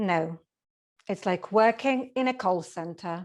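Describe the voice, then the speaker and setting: A woman speaks with a Polish accent. Her pace is fairly slow. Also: very clean recording, silent background. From Poland. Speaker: speech contestant. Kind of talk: humorous speech.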